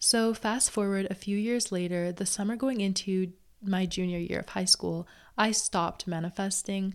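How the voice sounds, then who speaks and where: With a plain, everyday voice, a woman speaks at a medium pitch and moderate pace, her intonation fairly even, on a very clean recording with a silent background. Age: 20s. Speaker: podcast host and manifestation coach. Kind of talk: casual solo podcast talk. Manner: chatty, conversational.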